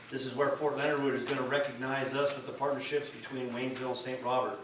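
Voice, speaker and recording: Noticeable background noise runs through the clip. There is audible room echo as well. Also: man. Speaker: mayor chairing city council meeting. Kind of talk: council meeting announcements. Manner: fast.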